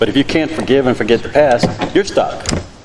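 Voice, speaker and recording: Noticeable background noise runs under the speech. The pace is fairly quick, with ordinary pitch variation. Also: man. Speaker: city council candidate. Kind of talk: candidate forum answer. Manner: loud.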